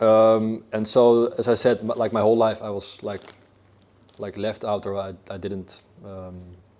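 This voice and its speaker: In a Dutch accent, a man speaks fairly slowly in a fairly low, dark, mellow voice, monotone and flat, with big swings in loudness. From Netherlands, Amsterdam. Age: 20s. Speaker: fitness coach. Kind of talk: interview. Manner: halting, many fillers and repeats.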